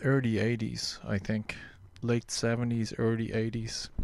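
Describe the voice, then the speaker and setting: Speaking very slowly with an Irish accent, a man at medium pitch shows ordinary pitch variation on a very clean recording with a silent background. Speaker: radio host. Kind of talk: low-key radio dj patter. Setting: radio show. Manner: relaxed, reflective; earnest, slightly rambling.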